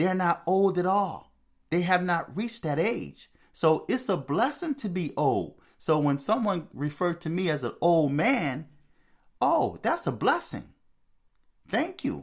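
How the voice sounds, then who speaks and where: A man's high voice, fairly slow and with lively intonation, on a very clean recording with a silent background. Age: 60s. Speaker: spirituality video host. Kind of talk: monologue commentary. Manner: repetitive, conversational.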